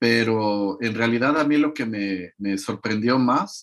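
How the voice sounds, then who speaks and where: The speech moves at a very slow pace with ordinary pitch variation. The background is quiet. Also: man. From Mexico. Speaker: interview guest. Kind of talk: interview.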